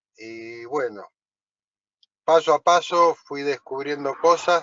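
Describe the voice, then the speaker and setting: Pitched fairly high, a man speaks very slowly with ordinary pitch variation. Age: 60s. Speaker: truck driver, course student. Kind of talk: self-introduction in online class. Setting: video call from parked truck on highway.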